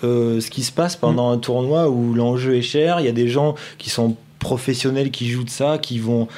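With ordinary pitch variation, a man uses an ordinary speaking voice and keeps a moderate speed. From southeast France, Nice hinterland. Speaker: video director for a poker company. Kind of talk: casual chat.

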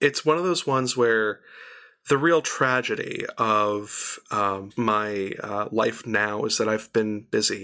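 A man with an American accent, medium pitch and a bright, sharp tone. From Arizona, US. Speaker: composer and voice actor. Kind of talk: casual interview chat.

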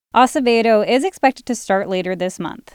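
A woman talks with a plain, everyday voice at a moderate pace. Her pitch variation is ordinary. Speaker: radio reporter. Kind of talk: scripted radio news report, read aloud. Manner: formal, even and informative, steady newsreading pace.

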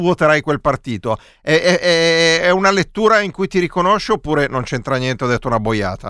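A man with an ordinary speaking voice at a fairly high pitch, dry and close with no echo, in a very clean recording with a silent background. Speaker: radio co-host. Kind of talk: casual live radio chat, election night. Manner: ironic, joking.

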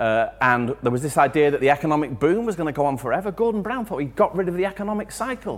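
A man with an English accent rattles along at a very fast pace with hardly any pauses, his fairly high voice making very wide pitch swings. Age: 40s. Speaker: music journalist. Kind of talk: live talk to audience. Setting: chapel with live audience.

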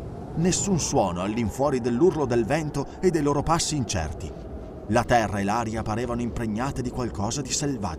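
This natural reading voice moves with lively intonation.

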